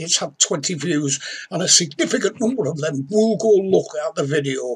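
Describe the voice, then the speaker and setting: A man speaks with a Yorkshire accent at a moderate pace. His pitch is high and his intonation lively. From Yorkshire, northern England. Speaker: crime novelist. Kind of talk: tutorial. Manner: conversational. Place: home room. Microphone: webcam.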